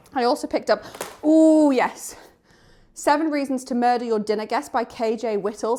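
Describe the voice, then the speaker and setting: Someone with a Geordie accent speaks at a moderate pace with ordinary pitch variation in a very clean recording with a silent background. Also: woman. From northern England, Newcastle area (Geordie). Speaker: book vlogger. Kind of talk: casual vlog. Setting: outdoors on a walk.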